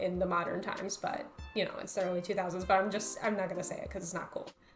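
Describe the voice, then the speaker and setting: Music plays in the background while a woman is talking. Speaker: YouTuber. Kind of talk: video essay narration.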